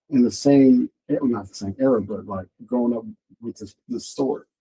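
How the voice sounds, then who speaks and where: A man with an American accent talks at medium pitch and a moderate pace, his voice somewhat breathy with a dark, mellow tone. His intonation is lively, and the sound is dry and close with no echo. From Compton, Los Angeles. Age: 50s. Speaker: comic book artist. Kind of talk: podcast interview. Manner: halting, many repeats.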